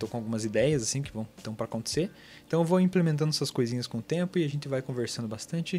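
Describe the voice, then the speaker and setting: A man speaks at a very fast pace with lively intonation and a fairly high pitch, music playing in the background. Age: 20s. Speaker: podcast host and mentor. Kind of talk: casual personal monologue. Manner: halting, many fillers.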